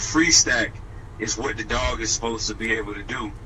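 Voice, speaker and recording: A man talking fairly quickly, with noticeable background noise and audible room echo. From New Orleans, Louisiana. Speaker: dog trainer. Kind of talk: radio interview.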